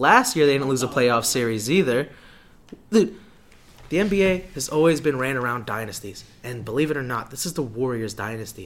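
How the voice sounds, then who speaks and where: He has a plain, everyday voice at a medium pitch. The man keeps a moderate pace with lively intonation. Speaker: sports podcast host. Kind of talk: casual chat about sports, school radio; heated argument about basketball.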